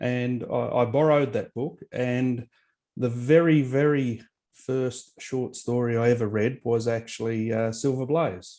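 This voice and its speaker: A man with an Australian accent talks at a fairly slow pace. His medium-pitched voice has a dark, mellow tone and fairly even intonation. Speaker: author and historian. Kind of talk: interview.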